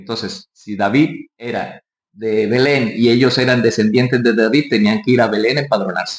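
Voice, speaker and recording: At a moderate pace, a man speaks at a medium pitch with a Colombian Caribbean accent and ordinary pitch variation. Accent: costeño Colombian coastal. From Colombian Caribbean coast, Barranquilla. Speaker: pastor. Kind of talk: sermon.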